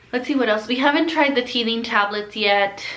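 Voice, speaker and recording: A woman speaks with a Californian accent. There is audible room echo. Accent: Californian American English. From Southern California. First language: Spanish. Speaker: flight attendant vlogger. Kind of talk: casual Q&A vlog. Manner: casual, filler-heavy.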